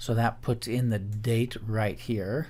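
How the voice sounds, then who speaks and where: The tone of this man's voice is dark and mellow. He takes a fairly slow pace. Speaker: teacher. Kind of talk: tutorial.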